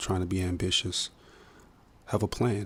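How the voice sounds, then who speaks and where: A man talks at a moderate pace. His voice has a somewhat breathy quality. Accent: American. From Minnesota, US. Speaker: musician and filmmaker. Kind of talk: podcast interview. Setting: studio. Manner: hesitant, many fillers.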